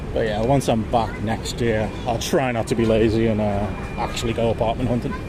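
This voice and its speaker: Speaking in a British accent, a man talks at a medium pitch and a fairly quick pace with monotone, flat intonation. Noticeable background noise and audible room echo surround the recording. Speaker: travel vlogger. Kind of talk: casual live stream chat. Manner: casual, rambling.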